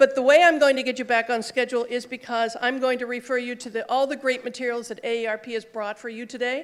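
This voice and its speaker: A woman talks at a very fast pace with a high pitch and hardly any pauses, her loudness swinging widely. The recording is very clean, with a silent background. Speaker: conference speaker, social worker in health IT. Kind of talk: conference talk. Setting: stage with audience and mic. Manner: loud, projecting.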